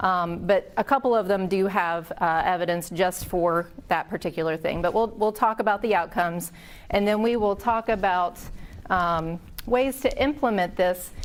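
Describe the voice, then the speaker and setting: A woman speaks at a medium pitch and a moderate pace, her pitch varying in an ordinary way. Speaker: critical care clinician presenting at a conference. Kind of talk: conference lecture. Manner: loud.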